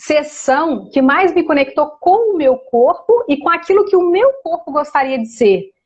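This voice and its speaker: At a fairly slow pace, a woman speaks in an animated tone, her pitch swinging very widely. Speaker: energy therapy facilitator. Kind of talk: casual interview on a live stream. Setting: online live stream.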